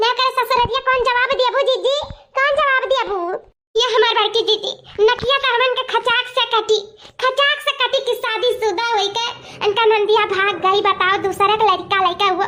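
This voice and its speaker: A woman uses a cartoonish character voice pitched extremely high, with very even loudness and fairly even intonation. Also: moderate pace. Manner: dramatic, sharp-tongued.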